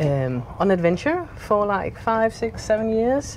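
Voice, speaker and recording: Speaking with a Danish accent, a woman talks at a fairly slow pace. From Denmark. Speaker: retired school teacher, boat owner. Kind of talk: casual interview. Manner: halting.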